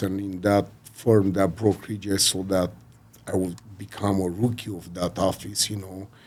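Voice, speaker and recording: With noticeable background noise, a man speaks at a fairly slow pace. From Romania. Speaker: real estate broker and mortgage consultant. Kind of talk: podcast interview. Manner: halting, many fillers.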